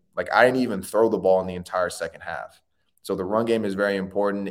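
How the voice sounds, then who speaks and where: A man with a very deep, low pitch speaks very fast in a flat monotone with an American accent. The recording is very clean, with a silent background. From Florida, Tallahassee. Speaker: former college quarterback, radio co-host. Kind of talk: casual chat. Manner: halting with frequent fillers.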